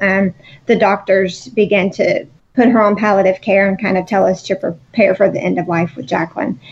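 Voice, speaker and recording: A woman talks at a moderate pace in a medium pitch with ordinary pitch variation. She has an ordinary speaking voice. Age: 30s. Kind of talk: interview.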